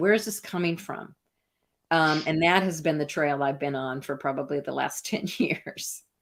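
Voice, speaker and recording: A woman with an American accent and an ordinary speaking voice speaks at a fairly low pitch, on a very clean recording with a silent background. Her pace is moderate and her pitch varies in an ordinary way. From US Midwest, Iowa. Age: 60s. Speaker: artist and researcher. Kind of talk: interview conversation.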